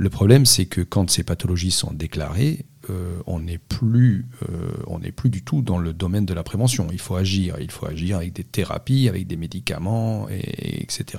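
A man with a very deep, low pitch talks at a fairly slow pace. His voice is somewhat breathy, with lively intonation. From Corsica. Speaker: nutrition scientist. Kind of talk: interview. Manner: halting.

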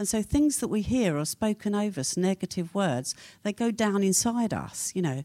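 In a very clean recording with a silent background and a dry, close sound with no echo, a woman with a dark, mellow tone speaks at a fairly quick pace through very wide pitch swings. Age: 70s. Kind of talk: seminar talk. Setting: stage with audience.

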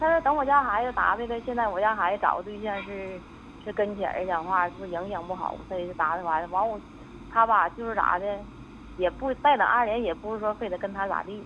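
This woman talks at a fairly quick pace. Her pitch is medium, with ordinary variation. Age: 40s. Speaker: caller. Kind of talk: phone call-in. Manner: halting.

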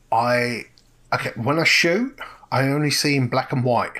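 A man's medium-pitched, bright, sharp voice in an English accent, at a fairly slow pace. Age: 40s. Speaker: street photographer. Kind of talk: podcast interview. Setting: remote call.

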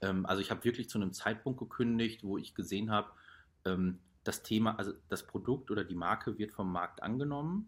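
This man has an ordinary speaking voice, pitched fairly low. He talks at a fairly quick pace with ordinary pitch variation. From Ruhr area, Germany. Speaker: startup founder. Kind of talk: casual interview.

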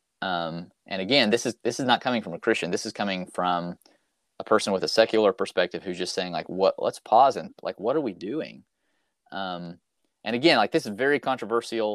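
A man with an American accent and a plain, everyday voice talks at a fairly quick pace, fairly low in pitch with ordinary pitch variation. The sound is dry and close with no echo, on a very clean recording with a silent background. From US South, Arkansas. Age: 40s. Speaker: youth minister. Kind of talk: casual interview.

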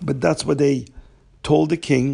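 Somewhat breathy, a man speaks at a fairly high pitch. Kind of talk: storytelling.

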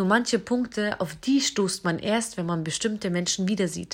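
Here is a woman with a plain, everyday voice. She speaks at a moderate pace and a medium pitch. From Southern Germany (Isar region, Bavaria). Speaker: podcaster. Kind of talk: personal monologue. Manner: emotional.

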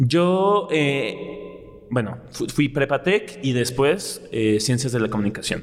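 With lively intonation, a man speaks at a very slow pace and a fairly high pitch. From Mexico City. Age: 20s. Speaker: dance teacher and choreographer. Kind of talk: interview conversation. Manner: animated.

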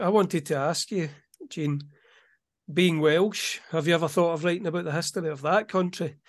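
Against a quiet background, a high-pitched man talks at a moderate pace with fairly even intonation. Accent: Scottish. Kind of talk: casual interview chat.

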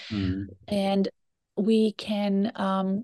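A woman's medium-pitched voice with a Portuguese accent, dark and mellow in tone, in a dry, close sound with no echo against a quiet background. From Brazil. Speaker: career coach. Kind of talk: interview.

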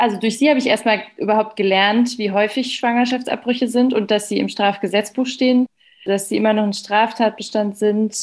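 A woman's fairly high voice holds a monotone, flat intonation at a moderate pace while noticeable background noise carries on around her. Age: young. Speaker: doctor. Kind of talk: casual chat.

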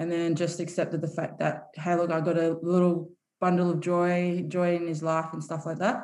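With audible room echo, a woman talks at a moderate pace in a fairly low pitch with monotone, flat intonation. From Samoa. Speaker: professional rugby player. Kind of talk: casual chat.

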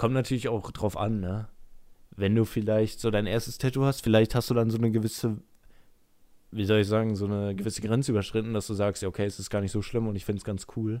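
A man's fairly low, dark, mellow voice at a very fast pace, monotone and flat, on a very clean recording with a silent background. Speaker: YouTuber and podcast co-host. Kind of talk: casual chat.

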